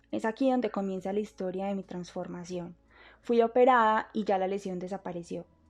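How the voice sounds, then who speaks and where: The woman's pitch sits at medium. Her intonation stays fairly even. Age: 20s. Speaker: university student. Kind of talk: testimony.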